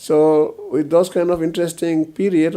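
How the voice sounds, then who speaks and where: A man speaks with a northeastern Indian accent. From Northeast India, Mizoram. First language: Mizo. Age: old. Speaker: retired police officer and politician. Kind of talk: interview. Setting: at home. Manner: hesitant, with many fillers.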